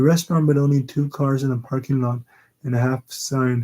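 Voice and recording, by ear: Someone reads aloud in a natural voice with fairly even intonation, and the background is quiet.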